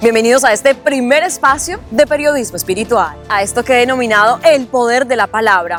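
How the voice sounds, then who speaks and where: Her high voice carries lively intonation at a fairly quick pace. Music plays behind the woman. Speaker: journalist. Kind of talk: interview host.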